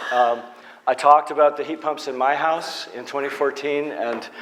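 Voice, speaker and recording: A fairly high-pitched man's voice with an American accent, against noticeable background noise. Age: 60s. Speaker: energy efficiency consultant. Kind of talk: conference talk. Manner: halting, many fillers.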